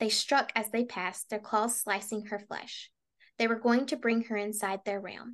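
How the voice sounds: Quiet surroundings, a natural reading voice, and intonation that stays fairly even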